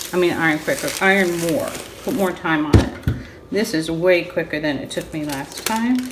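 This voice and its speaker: The intonation is lively, and noticeable background noise sits behind it. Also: woman. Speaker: crafter. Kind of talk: tutorial. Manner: loud; quieter than usual.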